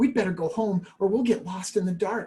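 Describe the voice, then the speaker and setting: Pitched fairly high, the voice is a put-on character voice. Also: moderate pace. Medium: read story.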